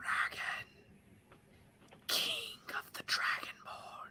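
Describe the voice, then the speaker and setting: Someone whispers in a put-on character voice. The pace is very slow. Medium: actual play. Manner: cold, scheming.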